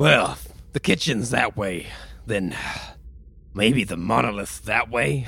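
Using a raspy, put-on character voice, a man speaks at a fairly low pitch and a fairly slow pace with long, frequent pauses over light background noise. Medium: actual play. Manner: cool, laid-back.

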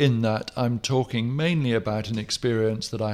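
On a very clean recording with a silent background, a man with an English accent talks at a moderate pace in a fairly low pitch. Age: 60s. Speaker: writer. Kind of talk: casual chat.

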